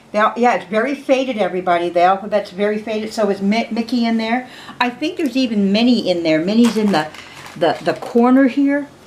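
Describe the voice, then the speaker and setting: A woman with a fairly high pitch talks fairly quickly and with lively intonation as noticeable background noise continues. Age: 50s. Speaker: doll collector and restorer vlogger. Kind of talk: casual show-and-tell vlog. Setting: home, late at night. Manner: chatty, hesitant with fillers.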